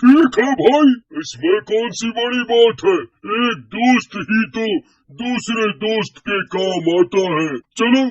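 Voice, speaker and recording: A man uses a cartoonish character voice pitched extremely high. He talks at a fairly slow pace. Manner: loud, excitable.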